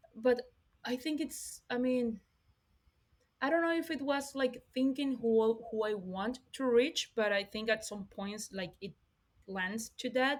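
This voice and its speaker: A woman's high-pitched, fairly slow speech with ordinary pitch variation, in a Spanish accent. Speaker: podcast host. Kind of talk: interview.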